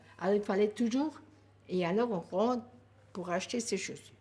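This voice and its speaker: A woman's somewhat breathy voice at medium pitch, with lively intonation. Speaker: grandmother sharing life story. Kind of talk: life story interview.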